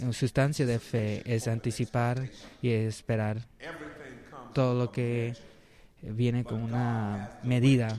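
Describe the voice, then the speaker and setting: At a very slow pace with long, frequent pauses, a man speaks in a flat monotone at a medium pitch. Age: 60s. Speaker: preacher. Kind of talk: sermon. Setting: church service. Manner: halting.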